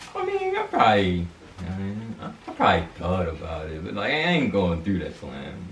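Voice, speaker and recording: Amid audible room echo and light background noise, a man with a very deep, low pitch speaks at a fairly quick pace with ordinary pitch variation and big swings in loudness. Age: 20s. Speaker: YouTuber. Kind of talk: casual chat. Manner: animated. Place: home room. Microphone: camera far.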